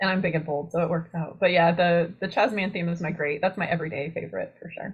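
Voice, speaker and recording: At a very fast pace, a woman talks in a somewhat breathy, fairly low-pitched voice with fairly even intonation. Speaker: university horticulture lecturer. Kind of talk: webinar lecture. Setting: online webinar.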